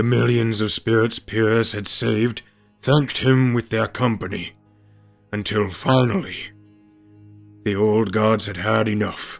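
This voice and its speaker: Using a put-on character voice at medium pitch, a man speaks at a moderate pace with long, frequent pauses as faint music plays in the background. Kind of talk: fantasy myth storytelling. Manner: theatrical, measured storytelling.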